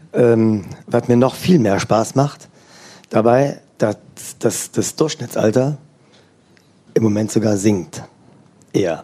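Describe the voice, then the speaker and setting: At a very slow pace, a man speaks in a medium pitch with a dark, mellow tone and ordinary pitch variation. His loudness is very even, and long, frequent pauses break up his speech. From Germany, Eifel near Luxembourg border. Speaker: organic farmer. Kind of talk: interview before live audience.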